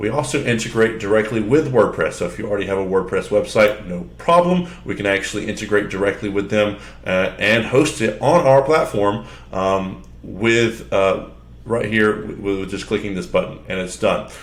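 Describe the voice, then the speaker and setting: With audible room echo, a man talks in a fairly low voice with vocal fry and lively intonation. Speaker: software demo presenter. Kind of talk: tutorial. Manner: fast; casual, filler-heavy.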